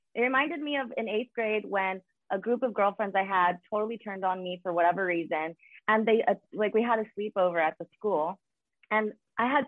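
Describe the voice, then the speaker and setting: A woman with a normal speaking voice talks at a fairly quick pace, her fairly high pitch carrying lively intonation. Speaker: reality show cast member guest. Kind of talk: casual chat.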